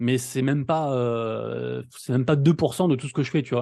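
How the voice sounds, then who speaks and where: A man's dark, mellow tone with ordinary pitch variation against a quiet background. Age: 30s. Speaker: NFT news content creator. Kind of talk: casual interview. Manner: fast; poor articulation.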